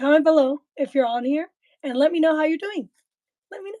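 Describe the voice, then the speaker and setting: A woman with a high pitch and a dark, mellow tone is heard in a dry, close sound with no echo. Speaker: livestream host. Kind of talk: livestream talk. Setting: live video stream. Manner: soft-spoken; halting.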